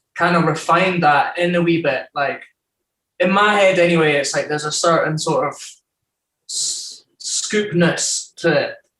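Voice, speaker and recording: The voice has a bright, sharp tone and an Edinburgh accent. Its pace is fairly slow. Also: man, high pitch for a man, fairly even intonation. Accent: Scottish (Edinburgh). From Scotland, Edinburgh (born in Newcastle). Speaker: rapper and producer. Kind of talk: casual chat. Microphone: connection issues.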